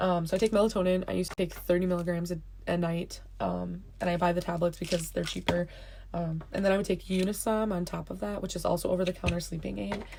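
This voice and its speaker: Speaking at a very fast pace, a woman has a fairly low pitch and a dark, mellow tone. Her voice is somewhat breathy, with fairly even intonation. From California. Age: 20s. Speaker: vlogger with a chronic illness. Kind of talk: casual vlog. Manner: hesitant with many fillers.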